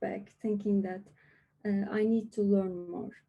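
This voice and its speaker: A somewhat breathy woman's voice, medium in pitch, with a dark, mellow tone. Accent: non-native. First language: not English. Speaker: lightning talk speaker. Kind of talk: presentation. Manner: hesitant.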